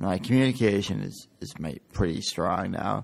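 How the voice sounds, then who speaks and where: Vocal fry runs through a man's very deep, low-pitched voice with an American accent. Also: very clean recording, silent background. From New Hampshire, US. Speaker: brain injury survivor. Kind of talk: interview testimony. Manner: casual, many fillers.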